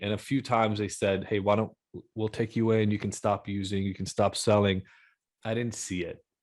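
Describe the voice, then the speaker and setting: In a very clean recording with a silent background, a man with a plain, everyday voice talks at a moderate pace in a fairly low pitch. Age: 40s. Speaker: addiction expert. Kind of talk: interview testimony.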